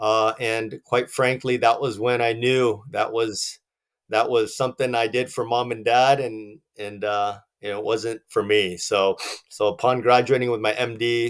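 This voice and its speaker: At a fairly slow pace, a man with an American accent speaks at a medium pitch with monotone, flat intonation on a very clean, silent-background recording. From Southern California. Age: 40s. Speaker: business owner. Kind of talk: interview.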